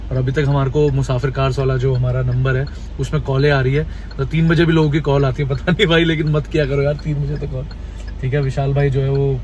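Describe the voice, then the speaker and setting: Fairly quick speech over light background noise. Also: man, dry sound with no echo. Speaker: travel vlogger. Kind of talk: casual vlog chat. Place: car. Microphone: phone near.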